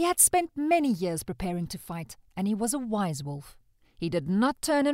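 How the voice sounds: A natural reading voice, nothing more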